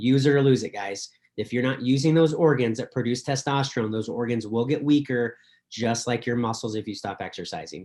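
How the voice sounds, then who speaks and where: A man's medium-pitched voice at a fairly quick pace, with ordinary pitch variation. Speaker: doctor presenting a supplement. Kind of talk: presentation on a video call. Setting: video call with screen share. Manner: fast; animated.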